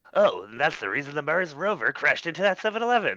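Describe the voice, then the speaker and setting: Speaking at a very fast pace, a man uses a put-on character voice with a high pitch. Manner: nasal, geeky, mocking.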